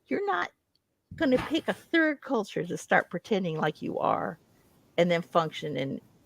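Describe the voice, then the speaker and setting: With a slight Midwestern accent, a woman speaks in an animated tone at a fairly low pitch with vocal fry and very wide pitch swings, at a moderate pace, in a dry, close sound with no echo. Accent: slight Midwestern American. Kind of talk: casual chat.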